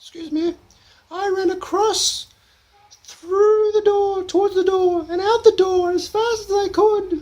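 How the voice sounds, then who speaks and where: This put-on character voice comes out squeaky. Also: man, extremely high pitch for a man, fairly slow pace. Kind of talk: comic overacting. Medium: solo performance. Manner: gushing, rambling, hesitant.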